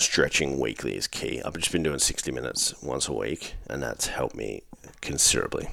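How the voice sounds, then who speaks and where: An Australian accent marks this man's speech. His words come at a fairly quick clip. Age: 30s. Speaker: fitness coach. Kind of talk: solo podcast monologue. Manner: casual, profane.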